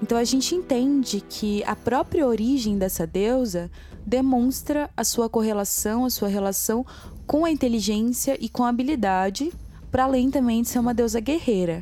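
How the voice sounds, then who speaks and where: Over background music, a woman speaks at a high pitch in a theatrical, dramatic tone. Her loudness stays very even, her pitch varies in an ordinary way, and her pace is moderate. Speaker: podcast co-host and narrator. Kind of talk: dramatic storytelling narration. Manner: theatrical, dramatic, voicing characters.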